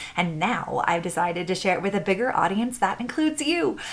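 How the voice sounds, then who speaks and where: A woman races along at a very fast pace with very wide pitch swings against noticeable background noise. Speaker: podcast host. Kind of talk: podcast intro.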